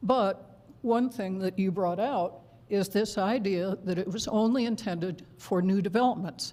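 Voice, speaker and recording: A dark, mellow tone with ordinary pitch variation. The pace is fairly slow. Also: woman. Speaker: public commenter at city council. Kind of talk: public comment at council meeting. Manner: hesitant, with pauses.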